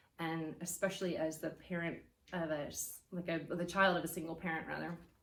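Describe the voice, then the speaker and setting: With audible room echo, a woman in an American accent speaks at a fairly quick pace and a fairly low pitch. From United States. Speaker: church guest speaker. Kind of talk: testimony. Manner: hesitant with fillers.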